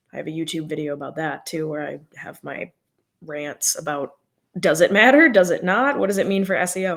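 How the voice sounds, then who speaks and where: A plain, everyday voice from a woman, fairly low in pitch, with an American accent and lively intonation. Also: fairly quick pace. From US Midwest. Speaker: social media marketing consultant. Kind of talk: live podcast interview. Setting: livestream.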